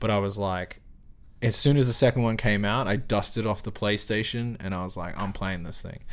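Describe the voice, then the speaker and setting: A man with an Australian accent, fairly low pitch, fairly even intonation and a fairly quick pace. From South Auckland, New Zealand. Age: 30s. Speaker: camera operator. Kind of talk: casual interview conversation.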